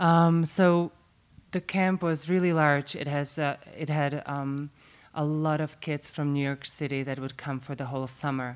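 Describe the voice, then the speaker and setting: With a Slovak accent, a woman speaks at a very deep, low pitch and a fairly slow pace. Her intonation stays fairly even. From Slovakia. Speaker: baker and cafe owner. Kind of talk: casual interview chat. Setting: recorded at a conference, podcast seminar.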